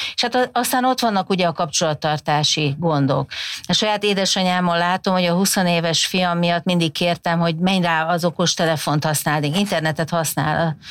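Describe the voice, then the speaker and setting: A woman with an ordinary speaking voice and a fairly low pitch talks at a moderate pace, with very even loudness and hardly any pauses. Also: ordinary pitch variation. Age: 50s. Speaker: communication researcher, professor. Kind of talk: podcast interview. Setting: studio.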